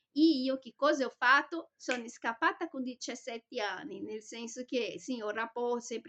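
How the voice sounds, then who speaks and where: A woman's high-pitched voice with a Brazilian accent, ordinary pitch variation and a moderate pace, recorded dry and close with no echo. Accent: Brazilian Portuguese accent in Italian. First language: Portuguese (speaking Italian). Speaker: vlogger. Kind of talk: personal monologue vlog. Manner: hesitant, with fillers and self-corrections.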